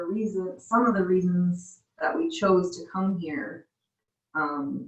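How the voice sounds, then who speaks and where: Someone with an American accent speaks at a fairly slow pace, somewhat breathy. The intonation is lively. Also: woman. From US Midwest. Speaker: missionary. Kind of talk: casual chat.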